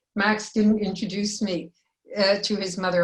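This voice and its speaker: A woman's monotone, flat delivery, somewhat breathy. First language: Yiddish. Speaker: filmmaker and former teacher. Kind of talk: panel discussion.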